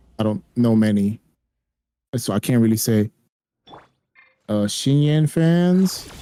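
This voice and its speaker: A man with a medium-pitched voice talks at a very slow pace, with lively intonation and long, frequent pauses. Music plays in the background, the sound is dry and close with no echo, and the loudness stays very even. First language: Spanish. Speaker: gaming streamer. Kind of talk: casual chat. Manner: animated.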